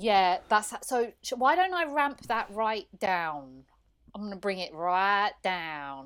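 Speaking at a very slow pace, a woman with a medium-pitched voice makes very wide pitch swings, recorded very cleanly against a silent background. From Iran. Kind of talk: casual chat. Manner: excitable.

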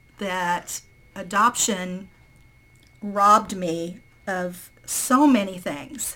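A woman with an American accent speaks at a very slow pace with ordinary pitch variation. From southern Indiana, near Louisville. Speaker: birth mother. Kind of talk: personal testimony. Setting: remote call.

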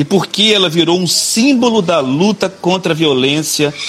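Noticeable background noise sits behind a man whose fairly high-pitched voice has lively intonation. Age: 40s. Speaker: state politician. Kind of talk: live-stream interview.

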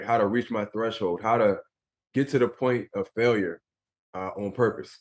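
With an American accent, a man talks in a plain, everyday voice at a moderate pace, his pitch varying in an ordinary way. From Philadelphia, US. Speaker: former pro basketball player and motivational speaker. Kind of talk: interview.

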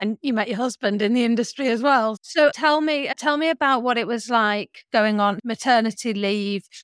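A plain, everyday voice talks at a moderate pace with hardly any pauses and ordinary pitch variation. The recording is very clean with a silent background, and the sound is dry and close with no echo. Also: woman, fairly high pitch for a woman. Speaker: podcast host. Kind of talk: interview.

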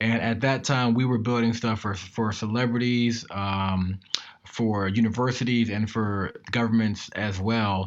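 With an American accent and an ordinary speaking voice, a man speaks at a fairly slow pace and a medium pitch with fairly even intonation. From Maryland, US. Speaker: tech entrepreneur. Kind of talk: interview.

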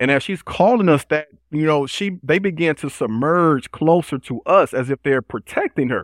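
With an American accent and an ordinary speaking voice, a man talks at a moderate pace with hardly any pauses, his fairly high pitch moving in lively intonation, the sound dry and close with no echo against a quiet background. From Chicago South Side, US. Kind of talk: interview.

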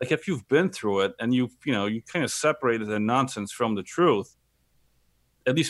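In a Polish accent, a man speaks at a fairly quick pace with lively intonation, in a very clean recording with a silent background. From Poland. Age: 30s. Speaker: entrepreneur and hip-hop artist. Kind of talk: casual chat.

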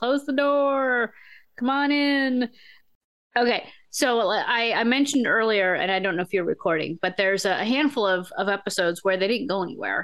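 Speaking at a moderate pace, a woman with a fairly high pitch uses lively intonation while her loudness stays very even. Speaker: podcast co-host. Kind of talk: casual chat. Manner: animated.

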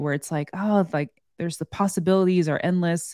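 A normal speaking voice from a woman with an American accent, fairly low in pitch with ordinary variation, at a fairly quick pace on a very clean recording with a silent background. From US West Coast, San Francisco Bay Area. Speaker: podcast host, real estate wholesaler. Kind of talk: casual chat.

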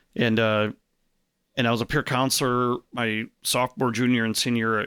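A man with a Chicago accent at medium pitch, bright and sharp in tone, at a moderate pace, dry and close with no echo, on a very clean recording with a silent background. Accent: Chicago-area American. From US Midwest, Chicago suburbs (Arlington Heights). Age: 40s. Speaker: networking event organizer. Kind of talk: casual interview chat.

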